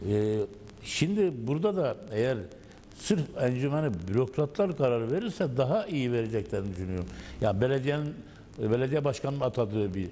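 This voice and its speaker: The voice has a dark, mellow tone. It moves at a moderate pace. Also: man. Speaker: former municipal council member. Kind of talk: panel discussion. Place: studio. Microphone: lapel.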